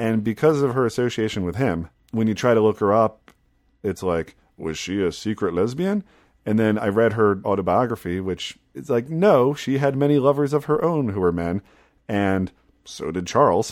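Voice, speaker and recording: Very clean, on a silent background, a man speaks in a normal speaking voice. His pitch is fairly low, his pace moderate and his intonation lively. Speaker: podcast host. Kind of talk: casual chat.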